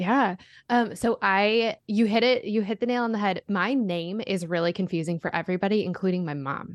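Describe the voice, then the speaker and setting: A woman with an unremarkable speaking voice and a General American accent, medium pitch, ordinary pitch variation and moderate pace, in a dry, close sound with no echo and a quiet background. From US, Denver, Colorado suburb. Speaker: author and podcaster. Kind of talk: interview, testimony.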